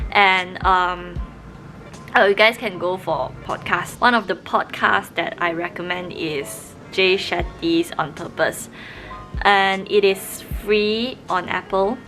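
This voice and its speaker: With a Malaysian accent, a woman speaks at a medium pitch and a very slow pace. Her intonation is fairly even, and music plays in the background. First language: Mandarin Chinese. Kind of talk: casual talk to camera.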